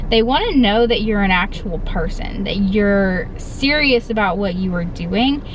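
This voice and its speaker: The speech moves at a fairly slow pace with hardly any pauses, set against noticeable background noise and audible room echo. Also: woman, medium pitch for a woman, ordinary pitch variation. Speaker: YouTuber giving reselling tips. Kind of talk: tutorial. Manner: casual, filler-heavy.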